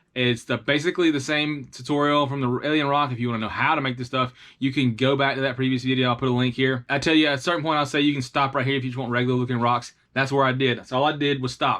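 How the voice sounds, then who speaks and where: Against a quiet background, a man with a Southern US accent speaks at a very fast pace in a bright, sharp tone with monotone, flat intonation. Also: medium pitch for a man. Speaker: tabletop terrain hobbyist YouTuber. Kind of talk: tutorial. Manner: casual, with frequent fillers and restarts.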